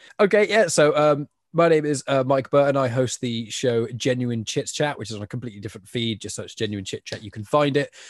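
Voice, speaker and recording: Talking at a very fast pace with an English accent, a man of medium pitch shows ordinary pitch variation in a dry, close sound with no echo. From England. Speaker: podcast host. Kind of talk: casual chat.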